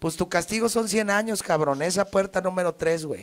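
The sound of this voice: A man speaks with a high-pitched voice. His pace is fairly quick. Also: ordinary pitch variation.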